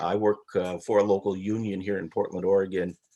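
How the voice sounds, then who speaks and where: A man at a moderate pace. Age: 60s. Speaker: audience member, union worker. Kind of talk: audience question. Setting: video call, audio only.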